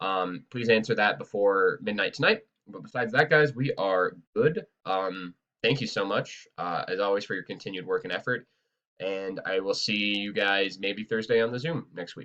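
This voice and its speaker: Bright and sharp in tone, a man's fairly low voice shows ordinary pitch variation. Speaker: high school teacher. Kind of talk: class update video. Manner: fast; hesitant fillers.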